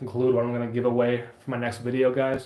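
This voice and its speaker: A man at a very fast pace and a medium pitch. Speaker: outdoor gear YouTuber and occupational therapy assistant. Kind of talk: live stream chat.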